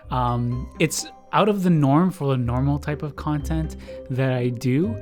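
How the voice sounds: Over faint music in the background, a man speaks at a medium pitch.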